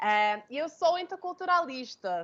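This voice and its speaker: Fairly slow speech from a woman with an American accent. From United States. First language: English (speaking Portuguese). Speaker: intercultural consultant. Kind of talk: webinar talk. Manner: hesitant, many fillers.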